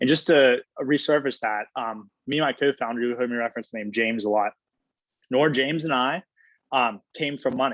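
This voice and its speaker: A man's medium-pitched voice at a fairly quick pace with ordinary pitch variation, dry and close with no echo, against a quiet background. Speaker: startup founder. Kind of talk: talk to students. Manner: loud; animated.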